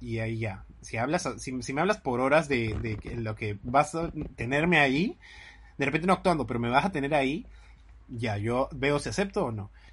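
Over a quiet background, a man with vocal fry talks at a medium pitch and a moderate pace, his intonation lively. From Lima, Peru. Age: 20s. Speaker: podcast co-host, actor. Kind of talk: casual chat.

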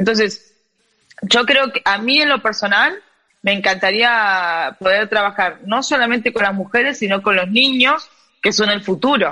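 A woman in a Rioplatense accent speaks at a moderate pace, her medium-pitched voice bright and sharp. Her pitch varies in an ordinary way over a quiet background. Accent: Argentine Spanish (rioplatense). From Argentina. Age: 30s. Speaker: gender equity in sport advocate. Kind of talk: interview.

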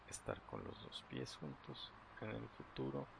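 Noticeable noise fills the background while a man talks at a fairly slow pace. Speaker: meditation guide. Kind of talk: guided meditation. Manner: halting.

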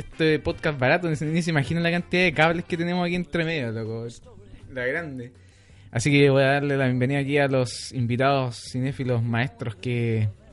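At a fairly quick pace, a man uses a plain, everyday voice, pitched fairly high with ordinary pitch variation. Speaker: podcast host. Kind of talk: casual chat.

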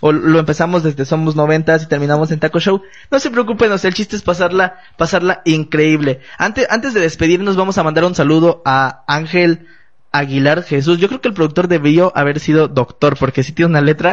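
Fairly high male speech, fairly quick in pace, its pitch varying in an ordinary way. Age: 20s. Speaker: podcast host. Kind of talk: casual chat. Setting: studio with small live audience and cameras. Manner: animated.

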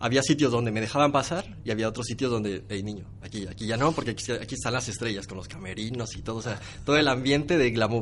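This man speaks at a very fast pace. His pitch varies in an ordinary way. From Mexico. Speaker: social media manager. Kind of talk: interview. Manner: animated.

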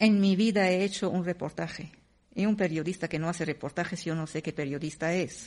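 Against a quiet background, an ordinary speaking voice moves at a fairly quick pace with fairly even intonation. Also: woman, fairly low pitch for a woman. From Syria. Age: 50s. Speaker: writer and radio host. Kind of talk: panel conversation.

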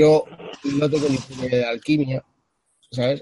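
The recording of this man is dry and close with no echo, his pace moderate. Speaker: vaping channel creator. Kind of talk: casual chat.

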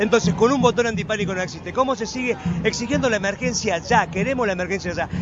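A man rattles along very fast in a high pitch, his pitch varying in an ordinary way, with noticeable background noise behind him. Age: 50s. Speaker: left-wing political leader. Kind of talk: street interview. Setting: outdoors at a protest march.

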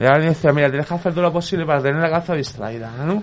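Against noticeable background noise, a man with a fairly high pitch talks at a very fast pace with fairly even intonation. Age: 40s. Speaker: mental health service user. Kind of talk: casual chat.

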